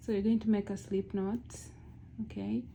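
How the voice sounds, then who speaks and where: Medium-pitched, somewhat breathy voice of a woman. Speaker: crochet tutorial creator. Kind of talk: tutorial. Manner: casual, with frequent fillers.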